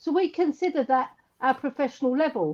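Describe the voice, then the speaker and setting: A woman with an English accent speaks fairly slowly at a high pitch. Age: 60s. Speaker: former women's footballer and coach. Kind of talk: casual chat.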